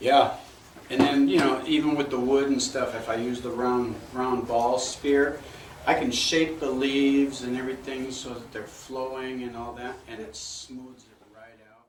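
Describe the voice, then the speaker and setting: Over noticeable background noise and audible room echo, a man speaks at a fairly slow pace in a medium pitch, his intonation monotone and flat and his loudness swinging widely. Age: 60s. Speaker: woodcarver. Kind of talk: casual chat.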